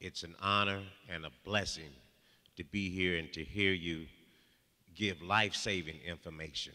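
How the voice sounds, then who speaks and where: With a very deep, low pitch and a bright, sharp tone, a man speaks at a moderate pace with fairly even intonation and long, frequent pauses. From New York, Harlem. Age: 60s. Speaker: audience member, retired addiction counselor. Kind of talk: audience question and personal testimony. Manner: halting.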